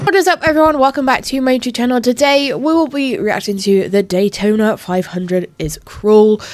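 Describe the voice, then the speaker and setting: Fairly quick speech with hardly any pauses and very wide pitch swings, over noticeable background noise. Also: woman, high pitch for a woman. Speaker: YouTube reaction creator. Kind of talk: casual vlog intro.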